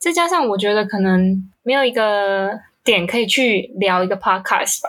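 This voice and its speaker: Her intonation lively, a woman with a medium pitch speaks at a moderate pace. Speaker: podcast co-host. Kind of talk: casual chat.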